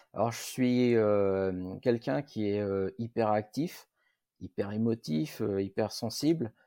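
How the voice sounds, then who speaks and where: Speaking at a very slow pace, a man has a dark, mellow tone at a fairly low pitch with ordinary pitch variation, recorded dry and close with no echo against a quiet background. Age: 40s. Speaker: factory worker. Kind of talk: interview. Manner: halting.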